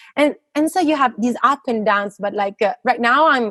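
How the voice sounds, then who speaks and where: A woman with an Italian accent speaks at a moderate pace with lively intonation, the sound dry and close with no echo. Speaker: physicist. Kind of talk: interview conversation. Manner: halting, many fillers.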